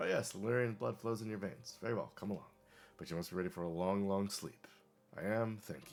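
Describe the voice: Here the voice is doing plain reading aloud.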